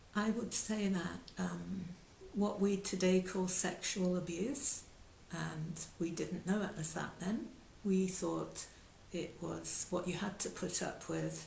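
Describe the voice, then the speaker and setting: A woman speaking very slowly, with audible room echo. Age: 70s. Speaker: yoga teacher. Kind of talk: talk. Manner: halting.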